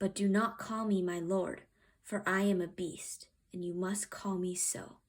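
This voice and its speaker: A growling put-on character voice from a woman, medium in pitch, monotone and flat, at a moderate pace. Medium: read story. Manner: growling, commanding.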